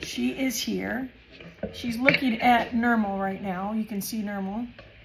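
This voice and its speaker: A woman's fairly high pitch with fairly even intonation at a moderate pace, over noticeable background noise. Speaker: crafting YouTuber. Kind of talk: casual chat. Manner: hesitant, many fillers.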